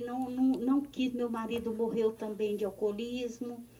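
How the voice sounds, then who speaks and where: A woman speaks in a high voice with a dark, mellow tone. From Recife, Pernambuco, Brazil. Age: 60s. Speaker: listener. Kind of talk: recorded voice message.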